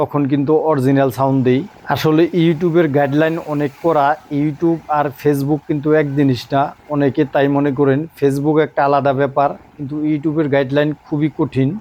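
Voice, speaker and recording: Over noticeable background noise, a man talks at a fairly high pitch with monotone, flat intonation. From Bangladesh, Dhaka area. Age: 40s. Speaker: YouTuber and migrant worker. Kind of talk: vlog monologue. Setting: outdoors by the sea.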